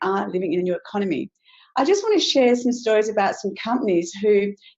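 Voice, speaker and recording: A woman's medium-pitched voice at a very fast pace. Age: 60s. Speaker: network marketing distributor. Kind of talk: sales pitch webinar. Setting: webinar.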